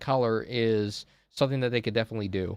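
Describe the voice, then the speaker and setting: A man speaks at a medium pitch with ordinary pitch variation. The sound is dry and close with no echo, over a quiet background. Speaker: YouTuber and Twitch streamer reacting to product reveal. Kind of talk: live stream reaction. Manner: fast; casual, many fillers.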